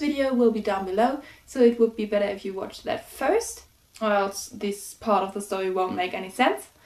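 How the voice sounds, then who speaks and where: Over noticeable background noise, a woman speaks at a moderate pace with lively intonation. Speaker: amateur author reading own story. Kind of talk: casual vlog intro. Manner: hesitant, many fillers.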